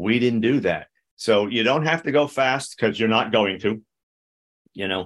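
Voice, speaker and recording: At a fairly slow pace with long, frequent pauses, a man speaks at a medium pitch with ordinary pitch variation. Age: 60s. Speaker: therapist. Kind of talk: interview. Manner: halting, frequent repetitions.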